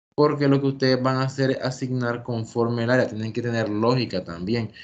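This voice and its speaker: A man talks at a fairly quick pace with an ordinary speaking voice. His medium pitch holds fairly even intonation. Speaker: teacher. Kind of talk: lecture. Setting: video call.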